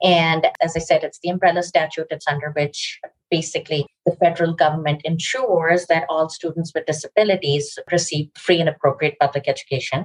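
A woman's somewhat breathy, fairly low voice with an American accent, fairly quick with hardly any pauses, fairly even in intonation, dry and close with no echo. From Pakistan. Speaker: lawyer. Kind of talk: interview.

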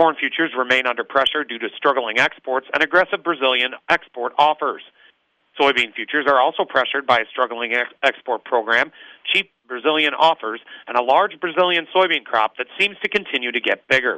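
In a normal speaking voice, a man talks at a fairly quick pace and medium pitch, with ordinary pitch variation. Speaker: grain market commentator. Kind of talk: market report read aloud. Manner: brisk, formal, even delivery of figures.

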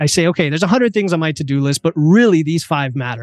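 A man talks in an ordinary speaking voice, fairly high in pitch with ordinary pitch variation. The sound is dry and close with no echo, on a very clean recording with a silent background. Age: 40s. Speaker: nutrition coach and engineer. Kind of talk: interview.

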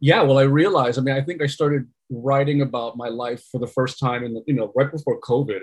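The pace is fairly quick. Intonation stays fairly even throughout. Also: man. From New York, Puerto Rican family. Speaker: storytelling consultant and meditation instructor. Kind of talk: interview.

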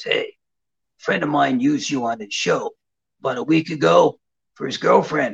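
A man puts on a raspy character voice. He talks at a moderate pace, with long, frequent pauses.

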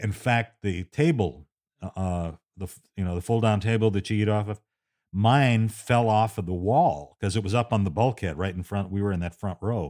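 An ordinary speaking voice from a man, fairly low in pitch with ordinary pitch variation, at a moderate pace, on a very clean recording with a silent background. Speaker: radio host and storyteller. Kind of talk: storytelling monologue, recounting a tense personal memoir. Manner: conversational, building suspense, with frequent fillers.

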